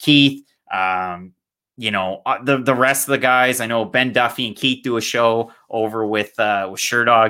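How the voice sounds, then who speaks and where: A man with a Canadian accent, fairly low pitch and bright, sharp tone, on a very clean recording with a silent background. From Canada, New Brunswick (Fredericton). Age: 20s. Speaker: MMA content creator and podcast host. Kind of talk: casual chat.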